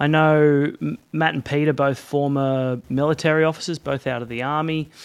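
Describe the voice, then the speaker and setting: A man with an ordinary speaking voice talks at a fairly high pitch and a moderate pace. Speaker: podcast host. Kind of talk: interview.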